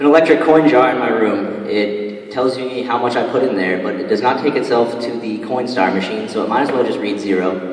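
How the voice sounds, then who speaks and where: A man talks at a fairly quick pace. Audible room echo surrounds his voice. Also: ordinary pitch variation, hardly any pauses. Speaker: student comedian. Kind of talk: stand-up comedy routine. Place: hall. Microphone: handheld.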